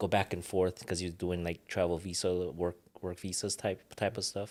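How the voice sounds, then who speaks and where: A man speaks in a very deep, low pitch at a fairly quick pace, his intonation monotone and flat. The recording is very clean, with a silent background. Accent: Hawaiian. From Hawaii. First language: Ilocano. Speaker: retired world champion boxer. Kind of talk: casual interview chat.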